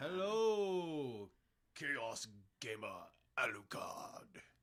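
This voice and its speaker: Very slowly, a man speaks. He uses a put-on character voice. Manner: theatrical, menacing.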